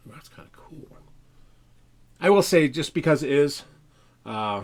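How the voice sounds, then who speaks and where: Speaking at a fairly slow pace, a man has a fairly high pitch. His intonation is lively. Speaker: RC hobby livestreamer. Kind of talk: live build stream. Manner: casual, chatty.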